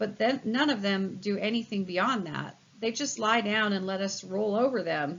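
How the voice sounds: The voice reads naturally. Pitch moves up and down in an ordinary way.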